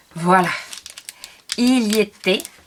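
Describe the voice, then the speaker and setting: A woman's medium-pitched voice at a very slow pace, with noticeable background noise. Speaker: scrapbooking youtuber. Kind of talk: product haul video. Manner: hesitant, many fillers.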